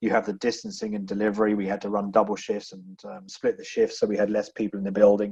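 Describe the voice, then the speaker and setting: A man with an English accent talks at a fairly quick pace. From England. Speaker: business executive. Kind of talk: podcast interview.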